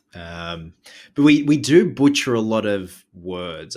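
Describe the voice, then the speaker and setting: An Australian accent from a man, on a very clean recording against a silent background. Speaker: horror film reviewer. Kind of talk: casual chat. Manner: stutters, words trip over each other.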